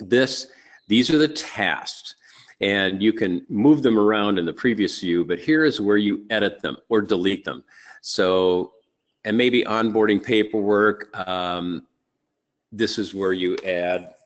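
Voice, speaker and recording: A man with an ordinary speaking voice, fairly low in pitch, with ordinary pitch variation and a quiet background. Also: fairly slow pace. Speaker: real estate trainer. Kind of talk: webinar tutorial. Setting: live webinar.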